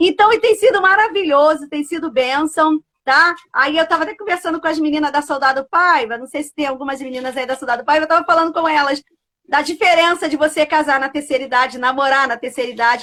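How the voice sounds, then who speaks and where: Speaking very fast in a raised, projected voice, a woman with a high, bright and sharp tone sounds animated, her pitch varying in an ordinary way. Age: 60s. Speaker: pastor and live show host. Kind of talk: casual live stream chat. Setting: live stream.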